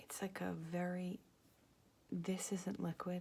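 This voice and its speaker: The speaker is soft-spoken with a relaxed tone. The pace is very slow. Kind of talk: ASMR soft spoken chit chat while flipping through a catalogue. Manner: soft-spoken, rambling, relaxed.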